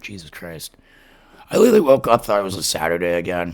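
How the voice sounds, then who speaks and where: With an American accent, a man speaks fairly quickly. Ordinary pitch variation marks his speech. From Massachusetts, Worcester area. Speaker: podcast host. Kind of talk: casual chat with reading aloud of stories. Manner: rambling with frequent fillers.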